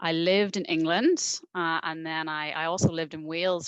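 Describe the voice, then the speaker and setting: Against a quiet background, a woman with a Northern Irish accent speaks at a fairly low pitch with ordinary pitch variation, in a dry, close sound with no echo. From Northern Ireland, Belfast. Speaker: university recruitment representative. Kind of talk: webinar presentation.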